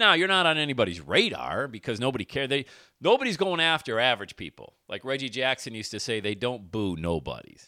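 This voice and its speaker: This man talks at a very fast pace at a medium pitch, with very wide pitch swings and vocal fry. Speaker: motivational podcast host and speaker. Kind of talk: motivational monologue. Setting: studio microphone. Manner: energetic, animated; screams into microphone.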